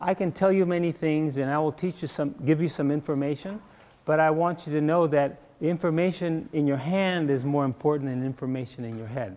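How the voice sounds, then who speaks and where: Speaking at a fairly quick pace, a man has a dark, mellow tone. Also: ordinary pitch variation. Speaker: acupuncture teacher. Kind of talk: workshop lecture. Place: classroom.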